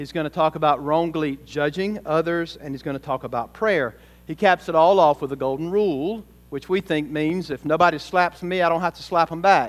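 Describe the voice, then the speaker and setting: On a very clean recording with a silent background, a man with an ordinary speaking voice talks at a fairly quick pace with a fairly high pitch, ordinary pitch variation and big swings in loudness. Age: 40s. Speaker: pastor. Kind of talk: sermon. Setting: church.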